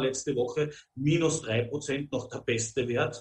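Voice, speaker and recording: Fairly even intonation and a somewhat breathy quality mark this man's speech. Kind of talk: interview.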